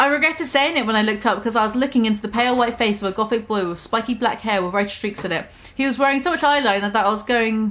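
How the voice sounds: The reading voice sounds natural. Pitch rises and falls normally.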